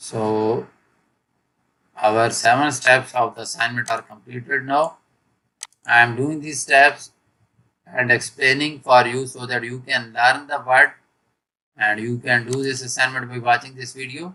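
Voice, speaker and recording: A man at a fairly slow pace, with long, frequent pauses, big swings in loudness, fairly even intonation and a bright, sharp tone. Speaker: software tutorial maker. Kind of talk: tutorial. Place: home room.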